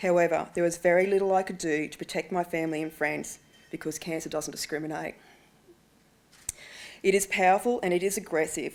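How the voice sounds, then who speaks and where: Speaking at a fairly quick pace with an Australian accent, the voice keeps a fairly even intonation and leaves long, frequent pauses. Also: woman, fairly low pitch for a woman. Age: 40s. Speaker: ovarian cancer patient and awareness advocate. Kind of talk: prepared speech to parliamentarians. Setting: speech at a breakfast event.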